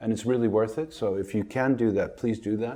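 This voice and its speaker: The background is quiet as a man speaks at a moderate pace. He has a normal speaking voice at a medium pitch. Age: 60s. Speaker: family doctor. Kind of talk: interview.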